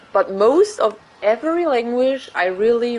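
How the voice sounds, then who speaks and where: Noticeable background noise runs behind this recording. Through it, a woman's voice moves in very wide pitch swings. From Germany. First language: German. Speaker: gaming streamer. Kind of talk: casual chat. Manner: informal, hesitant speech.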